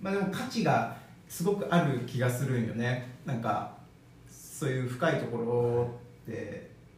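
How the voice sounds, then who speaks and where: Lively intonation comes at a fairly slow pace. Noticeable background noise and audible room echo are present. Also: man, medium pitch for a man. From Okayama, Japan. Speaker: bodywork practitioner, former trainer. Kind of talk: casual chat.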